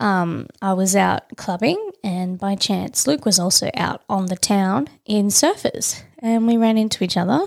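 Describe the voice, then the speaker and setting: In an Australian accent, a woman talks at a fairly slow pace with hardly any pauses and ordinary pitch variation, on a very clean recording with a silent background. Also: medium pitch for a woman. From Tasmania, Australia. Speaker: podcast host. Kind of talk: casual chat.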